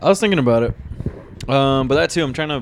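A man talks in a normal speaking voice at a medium pitch. His pace is fairly quick. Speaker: podcast host. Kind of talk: casual chat.

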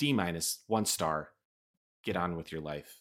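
Here a man talks with an American accent, an animated tone and vocal fry. His tone is bright and sharp, and the recording is very clean with a silent background. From Chicago. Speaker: podcast host. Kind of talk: casual chat. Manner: animated, jokey.

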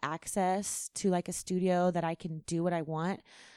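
A woman speaks with a Californian accent. The background is quiet. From California, Central Valley. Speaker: singer-songwriter. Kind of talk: casual chat.

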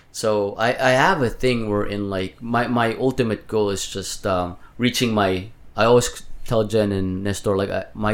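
Man with a Filipino accent, a fairly low pitch and fairly even intonation at a moderate pace. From Philippines. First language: Tagalog. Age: 30s. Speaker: healthcare worker for elderly patients. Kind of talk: casual chat.

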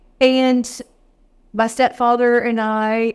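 A woman with a Texan accent, flat and monotone in intonation. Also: very clean recording, silent background. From East Texas. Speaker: whiskey educator. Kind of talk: interview.

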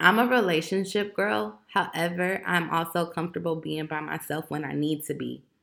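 A woman's fairly low voice with vocal fry and lively intonation at a moderate pace, in a very clean recording with a silent background. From Chicago, Illinois. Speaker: podcaster. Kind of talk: casual monologue rant. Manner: animated.

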